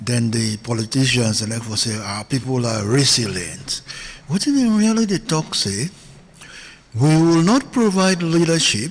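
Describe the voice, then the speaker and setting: A man's medium-pitched voice, fairly slow, with very wide pitch swings and noticeable background noise. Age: 70s. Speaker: founder of an organisation. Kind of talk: radio interview.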